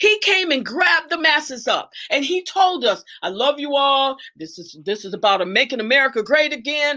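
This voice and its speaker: A woman's high-pitched, raised and projected voice, animated in tone, with very wide pitch swings. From Detroit, US Midwest. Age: 70s. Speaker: guest speaker on a livestream talk show. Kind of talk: livestream discussion and lecture.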